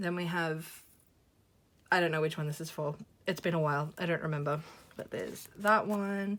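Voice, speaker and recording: This woman talks at a fairly quick pace with an Australian accent. Her pitch sits fairly low. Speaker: YouTuber, photocard collector. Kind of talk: casual vlog chat. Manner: chatty, rambling with fillers.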